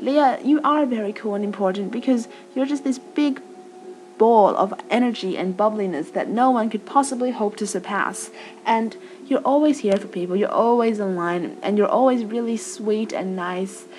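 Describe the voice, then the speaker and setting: With noticeable background noise behind her, a woman speaks in an American accent at a fairly high pitch with lively intonation. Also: moderate pace. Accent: Australian with American tinge. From Australia. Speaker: vlogger. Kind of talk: casual chat. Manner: informal, chatty.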